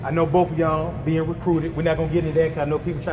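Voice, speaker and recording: Very fast speech against noticeable background noise. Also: man. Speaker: interviewer host. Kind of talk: casual interview intro. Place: hall. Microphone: phone near.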